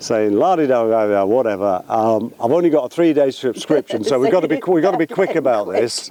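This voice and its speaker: A man talks at a fairly quick pace with hardly any pauses, medium pitch and lively intonation. His loudness stays very even over noticeable background noise. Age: 60s. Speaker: vlogger. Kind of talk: casual chat. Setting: outdoors at the beach. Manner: hesitant, filler-heavy.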